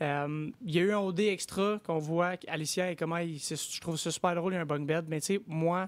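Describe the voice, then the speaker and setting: A man in a Quebec accent, high in pitch, at a fairly quick pace with hardly any pauses and fairly even intonation. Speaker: reality TV contestant. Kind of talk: interview. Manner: hesitant, repetitive.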